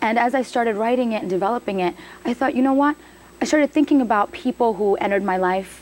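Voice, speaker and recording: Over noticeable background noise, a woman talks at a very fast pace in a fairly high pitch, with lively intonation and very even loudness. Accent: American. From US, the Bronx, New York City. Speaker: actress and playwright. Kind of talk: interview.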